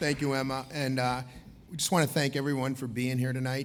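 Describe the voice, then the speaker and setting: Monotone and flat, a man with an American accent talks at a fairly quick pace amid audible room echo. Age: 50s. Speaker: event co-host. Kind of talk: gala emcee speech. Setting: stage with audience at gala dinner. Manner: loud.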